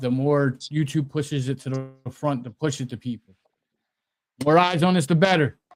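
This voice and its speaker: A man with a Philadelphia accent, fairly high in pitch, at a fairly quick pace with fairly even intonation. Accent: Delco. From Delaware County, Pennsylvania. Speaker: sports talk show co-host. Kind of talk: casual chat. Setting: live stream.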